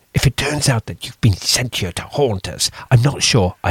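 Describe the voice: Lively intonation runs through the delivery. It is plain reading aloud.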